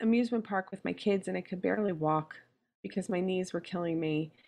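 Against a quiet background, a woman with a plain, everyday voice speaks in a medium pitch with lively intonation. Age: 40s. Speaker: weight loss surgery patient. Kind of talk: interview.

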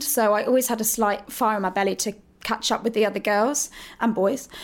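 With a southern English accent, a woman talks at a fairly quick pace and keeps her intonation fairly even. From Hertfordshire, England. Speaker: musical theatre actress. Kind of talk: casual interview. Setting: backstage dressing room.

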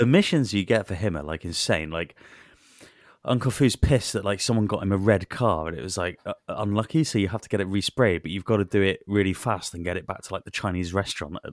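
Talking at a very fast pace with a Welsh accent, a man with a fairly low voice shows big swings in loudness and ordinary pitch variation, recorded very cleanly with a silent background and a dry, close sound with no echo. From Wales. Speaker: podcast co-host. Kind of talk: casual banter about video games. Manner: crude, joking, sweary.

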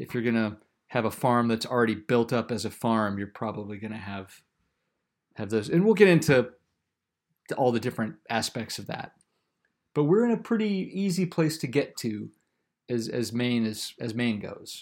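With an American accent and medium pitch, a man talks at a moderate pace, using lively intonation, big swings in loudness, and long, frequent pauses. The recording is very clean against a silent background. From South Carolina. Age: 40s. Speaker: farmer and podcast host. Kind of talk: casual chat.

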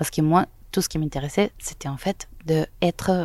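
A woman speaks with a Spanish accent. Her pitch is fairly low, and her intonation stays fairly even. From Venezuela, Caracas. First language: Spanish (speaking French). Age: young. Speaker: photojournalist. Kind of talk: interview. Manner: halting.

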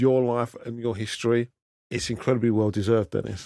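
This man has an unremarkable speaking voice at medium pitch with ordinary pitch variation, talking at a fairly quick pace in a dry, close sound with no echo. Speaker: podcast host. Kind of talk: interview.

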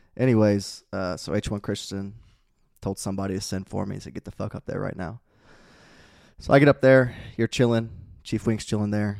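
A man speaks in a plain, everyday voice, fairly low in pitch, with fairly even intonation and a fairly quick pace. His loudness swings widely, and the very clean recording is dry and close with no echo and a silent background. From Indiana (Peru). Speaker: Navy corpsman veteran. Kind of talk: casual chat.

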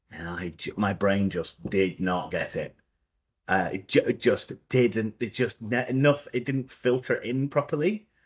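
A man with a Scottish accent speaks at a fairly slow pace and a medium pitch. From Scotland. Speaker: theatre director. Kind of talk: casual interview chat.

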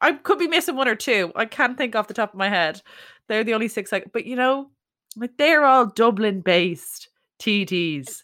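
A woman with a Leinster accent, fairly high pitch and very wide pitch swings, at a moderate pace, on a very clean recording with a silent background. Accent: Irish (Leinster). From Ireland, County Meath (Dunboyne). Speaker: podcast host. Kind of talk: casual chat.

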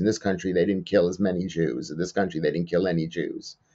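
Speaking with an American accent, a man talks at a very fast pace in a very deep, low pitch with ordinary pitch variation. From US, New York. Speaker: comedian. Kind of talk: interview about personal loss.

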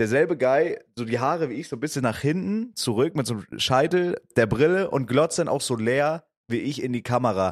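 This man speaks in an ordinary speaking voice, fairly high-pitched, with lively intonation, a moderate pace and hardly any pauses. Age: 20s. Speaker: podcast co-host. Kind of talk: casual chat.

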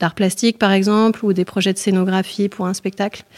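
A woman talks at medium pitch and a moderate pace with monotone, flat intonation. The recording is very clean, with a silent background. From France, Vercors (Isère). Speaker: artist and co-founder of a shared venue. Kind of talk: guided tour. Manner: halting.

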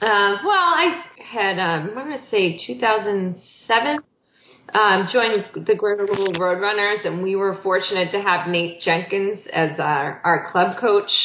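The woman has an unremarkable speaking voice at a medium pitch, talking at a fairly slow pace. Her pitch variation is ordinary, while her loudness swings widely. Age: 40s. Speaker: marathon runner and mother. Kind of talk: interview.

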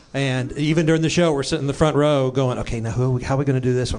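Fairly even intonation in an American accent, against noticeable background noise. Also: man. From Texas. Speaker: music producer. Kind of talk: casual chat.

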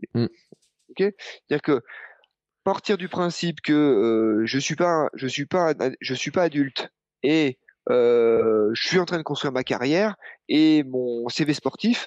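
A man talks at a very slow pace, his words broken by long, frequent pauses. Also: fairly high pitch for a man, lively intonation. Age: 40s. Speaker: running coach. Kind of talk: casual chat.

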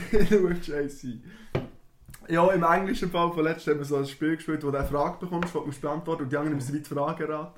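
This man has an ordinary speaking voice, pitched fairly high. His intonation stays fairly even. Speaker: podcast host. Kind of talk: casual chat.

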